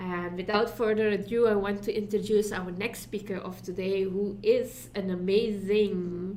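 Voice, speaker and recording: Amid audible room echo, a woman with a Dutch accent talks at a fairly slow pace with hardly any pauses, her medium-pitched voice dark and mellow in tone and her intonation monotone and flat. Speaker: summit co-host. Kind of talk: speaker introduction.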